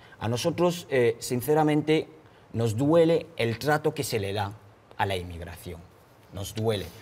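A man's somewhat breathy voice at a fairly slow pace, with very wide pitch swings and long, frequent pauses. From Cameroon. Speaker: human rights activist; guest. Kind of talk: interview testimony. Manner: frequent hesitations (eh). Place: studio. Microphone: lapel.

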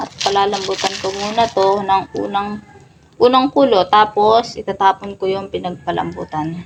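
A woman talks fairly slowly, her pitch moving in a normal way, while clear noise runs behind her. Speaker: cooking vlogger. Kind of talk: cooking tutorial.

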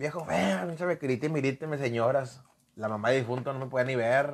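Pitched in a medium range, the man's voice shows ordinary variation in pitch. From Monterrey, Mexico (Colonia Treviño); Monterrey. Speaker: professional wrestler; guest. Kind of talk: casual interview. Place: studio. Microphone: lapel.

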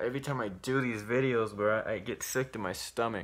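With a bright, sharp tone, a man delivers his words at a moderate pace. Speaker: YouTuber posing as decoy to expose predators; vlogger. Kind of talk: casual vlog commentary. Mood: indignant, disgusted. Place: home room. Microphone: phone near.

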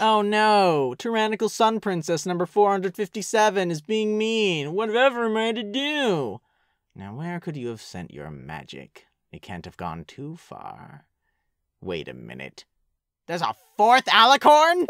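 Someone speaks in a put-on character voice with a smug tone at middle pitch. The recording is very clean, with a silent background. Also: fairly slow pace. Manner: smug, sarcastic.

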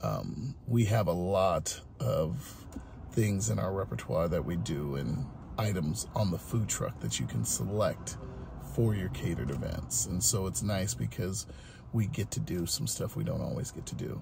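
Noticeable background noise surrounds a man with a very deep, low pitch. He talks at a fairly slow pace with very wide pitch swings. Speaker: food truck owner and vlogger. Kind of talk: casual vlog narration. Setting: on location at a food truck, catering a wedding. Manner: casual, upbeat, conversational.

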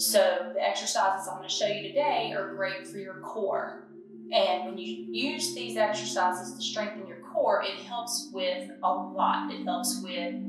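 A woman talks at a fairly slow pace, her loudness swinging widely. Room echo is audible, and there is noticeable background noise. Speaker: fitness instructor. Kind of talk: tutorial. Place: home room. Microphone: camera far.

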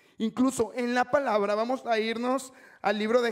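The pace is moderate as the man talks against a quiet background. His pitch varies in an ordinary way. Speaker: preacher. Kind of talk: sermon. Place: church. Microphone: handheld.

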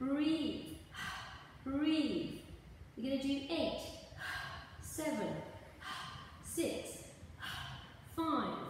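A woman speaking at a very slow pace, with strong room echo and light background noise. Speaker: pilates instructor. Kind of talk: exercise class instruction. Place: gym. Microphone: camera far.

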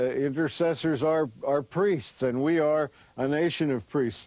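A man's dark, mellow voice moves at a moderate pace with ordinary pitch variation, the sound dry and echo-free. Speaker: Bible teacher, TV host. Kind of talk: teaching to camera.

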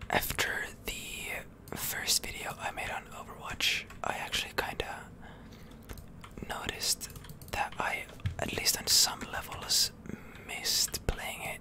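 Very slow whispering with long, frequent pauses. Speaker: ASMR gaming content creator. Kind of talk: ASMR gaming commentary, whispered. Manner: whispered, soft-spoken. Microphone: studio mic.

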